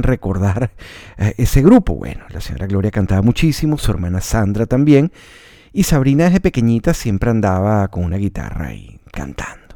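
A man with a Venezuelan accent speaks in a fairly low pitch, with a dark, mellow and relaxed tone. His intonation is lively and his loudness swings widely. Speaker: radio announcer and podcaster. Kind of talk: personal storytelling monologue. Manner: relaxed, conversational.

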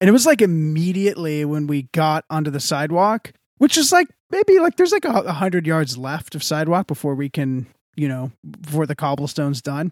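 A man with an American accent speaks in an ordinary speaking voice at a fairly quick pace, his fairly high pitch showing ordinary variation, on a very clean recording with a silent background and a dry, close sound with no echo. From Texas. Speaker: podcast co-host. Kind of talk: casual chat.

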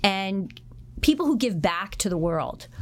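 In a US Northeastern accent, a woman with a medium pitch talks at a fairly slow pace. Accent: US Northeast. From Connecticut, US. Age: 50s. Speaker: real estate broker. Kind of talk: interview.

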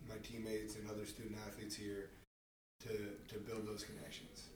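With a West Coast accent, a man talks at a medium pitch amid audible room echo. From Marin County, California. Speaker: podcast host, college athlete. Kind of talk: interview.

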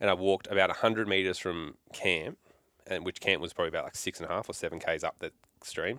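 Talking at a very fast pace, a man is heard in a very clean recording with a silent background and a dry, close sound with no echo. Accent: Australian. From Melbourne, Australia. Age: 20s. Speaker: hunter and vet. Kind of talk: casual chat. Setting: shed.

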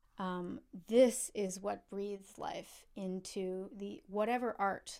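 A woman speaks in a New York State accent. Her loudness swings widely. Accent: American (New York State). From upstate New York. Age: 30s. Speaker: cellist. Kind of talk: casual interview. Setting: video call.

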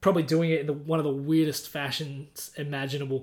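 A man's fairly high-pitched voice in an Australian accent, very fast, with fairly even intonation. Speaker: sports podcast co-host. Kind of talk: casual chat.

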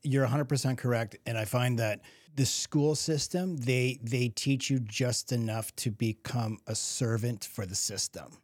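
A man with an ordinary speaking voice at a medium pitch, fairly slow and with hardly any pauses, ordinary pitch variation, in a very clean recording with a silent background and a dry, close sound with no echo. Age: 50s. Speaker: podcast host. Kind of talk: casual chat.

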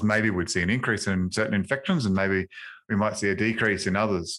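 The voice has an Australian accent. The recording is very clean, with a silent background. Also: man. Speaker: infection control podcast host. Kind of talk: casual professional discussion. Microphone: new upgraded microphone.

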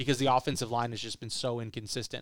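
With an American accent, a man speaks in an ordinary speaking voice. His pitch is medium, with ordinary variation. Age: 20s. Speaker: sports podcast host. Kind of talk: casual sports chat.

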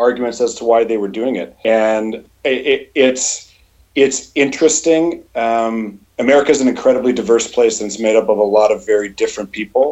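A man has a plain, everyday voice with a Canadian accent. He talks at a fairly quick pace in a medium pitch, with fairly even intonation. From Canada. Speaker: software company owner and CEO. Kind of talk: casual chat. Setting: video call.

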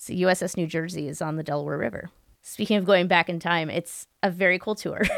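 Vocal fry at a fairly quick pace, with fairly even intonation. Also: woman. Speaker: public historian and podcaster. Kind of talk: casual chat. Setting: remote call.

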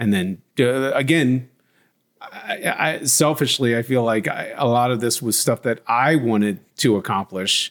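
A man speaks in a plain, everyday voice at a fairly slow pace. His pitch is medium, with ordinary pitch variation. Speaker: podcast co-host, son. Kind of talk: casual chat.

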